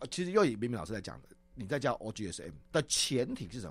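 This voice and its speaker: This man talks at a fairly quick pace with a medium pitch and vocal fry. His pitch swings very widely. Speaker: corporate trainer and presentation coach. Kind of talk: radio interview.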